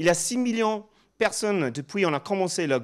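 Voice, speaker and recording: On a very clean recording with a silent background, a man with a slight English accent speaks at a moderate pace with lively intonation. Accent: slight English-speaking accent in French. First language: English (speaking French). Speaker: professor. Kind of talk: conference presentation. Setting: stage with audience. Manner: halting, with many fillers and repetitions.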